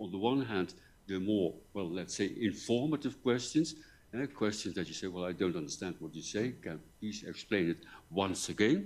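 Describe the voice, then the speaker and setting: A man's voice, fairly low for him, moves along at a moderate pace. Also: lively intonation. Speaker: professor. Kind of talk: lecture. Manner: halting.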